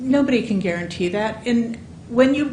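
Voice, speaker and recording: A woman's fairly high-pitched voice with audible room echo and noticeable background noise. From California Central Valley. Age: 60s. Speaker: public commenter, local resident. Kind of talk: public comment at a commission meeting. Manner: halting.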